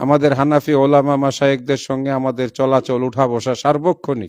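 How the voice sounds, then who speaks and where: Fairly high-pitched male speech over a quiet background. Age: 60s. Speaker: professor and Islamic organization leader. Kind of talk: public statement.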